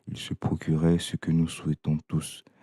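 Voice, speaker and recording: A man with a very deep, low pitch talks at a very slow pace in a calm tone, his intonation monotone and flat. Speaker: audiobook reader. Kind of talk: reading aloud. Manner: calm, measured.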